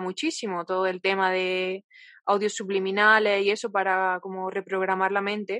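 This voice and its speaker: Against a quiet background, a woman with a medium-pitched, bright, sharp voice talks at a moderate pace. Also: dry, close sound with no echo. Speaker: podcast co-host. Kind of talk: casual chat.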